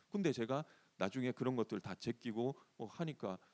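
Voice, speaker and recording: This man's voice has a dark, mellow tone. The sound is dry and close, with no echo. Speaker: pastor. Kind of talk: sermon.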